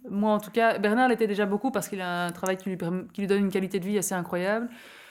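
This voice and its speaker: This very clean recording of a woman has a silent background. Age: 30s. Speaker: zero-waste advocate. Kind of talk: interview testimony.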